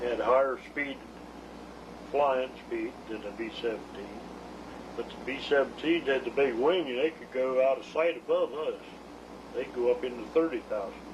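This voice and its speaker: Long, frequent pauses and big swings in loudness sit over noticeable background noise. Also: man, fairly high pitch for a man, ordinary pitch variation, moderate pace. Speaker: war veteran. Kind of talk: interview answer.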